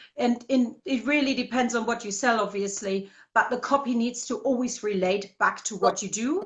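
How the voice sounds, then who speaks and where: A woman's high-pitched voice at a moderate pace, with hardly any pauses and ordinary pitch variation. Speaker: marketing and copywriting consultant. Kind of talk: interview.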